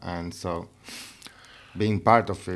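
A man with a Spanish accent at a fairly slow pace, his intonation fairly even. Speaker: interviewer. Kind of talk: casual interview chat. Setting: studio.

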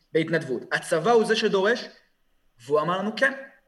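A normal speaking voice from a man, with lively intonation at a fairly quick pace. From Israel, Kfar Saba. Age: 20s. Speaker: student protest leader, army veteran. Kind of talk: podcast interview.

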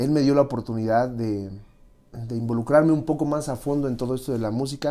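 A man talks in a plain, everyday voice at medium pitch. His intonation is fairly even and his pace moderate. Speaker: music industry manager. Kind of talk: interview.

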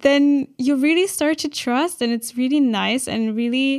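With a German accent, a woman talks at a moderate pace with ordinary pitch variation. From Germany. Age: 20s. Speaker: podcast host. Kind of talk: casual chat.

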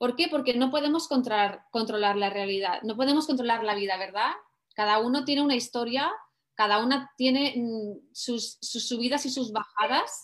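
Her pace stays moderate. The speaker is a woman with a high-pitched voice. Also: ordinary pitch variation. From Spain. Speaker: life coach. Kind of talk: presentation.

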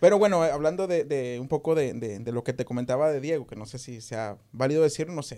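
A man with a strong regional Mexican accent talks very fast in a fairly high pitch with a dark, mellow tone. His loudness swings a lot, while his pitch varies in an ordinary way. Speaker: podcast host. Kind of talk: casual chat.

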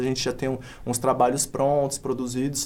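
Fairly high in pitch, a man speaks at a fairly quick pace. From Brazil, Paulínia (São Paulo state). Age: 20s. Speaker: MC and street artist. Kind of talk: casual interview. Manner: casual slangy speech.

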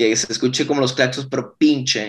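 Here is an unremarkable speaking voice at a moderate pace. Its intonation stays fairly even. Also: man. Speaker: rock band singer. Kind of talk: casual interview chat.

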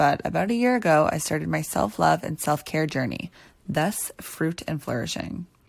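In a very clean recording with a silent background, a woman with a Canadian accent speaks at a moderate pace in an upbeat tone. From Ontario, Canada (near Toronto). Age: 20s. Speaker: podcast host, dancer and choreographer. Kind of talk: scripted podcast intro monologue. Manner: upbeat, motivational.

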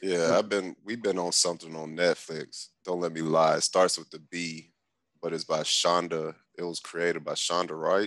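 A man with a very deep, low pitch talks at a moderate pace in a monotone, flat intonation, with big swings in loudness. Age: 30s. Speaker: podcast guest. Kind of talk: casual chat. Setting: remote call.

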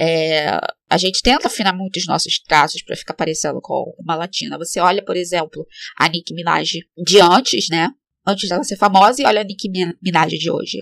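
Speaking fairly quickly, a woman uses a fairly low pitch with vocal fry and ordinary pitch variation. The sound is dry and close, with no echo. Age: 30s. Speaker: podcast host. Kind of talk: casual monologue.

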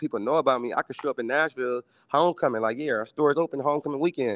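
Speaking at a very fast pace with an American accent, a man keeps a medium pitch and ordinary pitch variation over a quiet background, in a dry, close sound with no echo. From Milwaukee, US Midwest. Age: 30s. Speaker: entrepreneur and sneaker reseller. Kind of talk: casual chat. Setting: video call.

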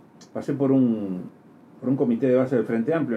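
The speaker is a man with a medium-pitched voice. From outside Uruguay. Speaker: radio host. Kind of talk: political talk show interview. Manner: animated.

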